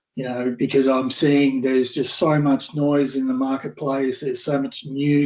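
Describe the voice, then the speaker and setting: The man's voice carries a dark, mellow tone. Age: 60s. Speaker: AI consultant. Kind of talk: casual chat. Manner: halting.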